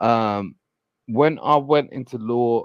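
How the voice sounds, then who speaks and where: Speaking very slowly in a British accent, a man uses ordinary pitch variation. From England, London. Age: 40s. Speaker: caller. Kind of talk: casual chat. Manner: halting.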